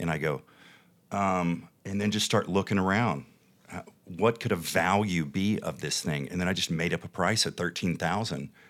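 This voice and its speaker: A man's very deep, low voice moves at an average speed with normal pitch movement, captured in a very clean recording against a silent background. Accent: Texas. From Texas. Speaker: TV producer and entrepreneur. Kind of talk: casual interview chat. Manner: animated, passionate.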